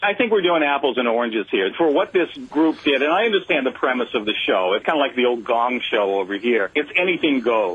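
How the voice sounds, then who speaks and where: The voice belongs to a man and sits fairly high in pitch. It moves through very wide pitch swings. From United States. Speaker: radio commentator, guest caller. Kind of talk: radio interview answer.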